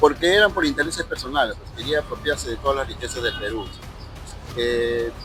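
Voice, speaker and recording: A man talks over noticeable background noise. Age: 60s. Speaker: interviewee. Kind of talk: interview.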